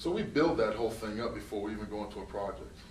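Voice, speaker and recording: There's audible room echo and noticeable background noise. A man with a northern US accent talks at a fairly quick pace. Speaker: construction company owner. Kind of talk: interview.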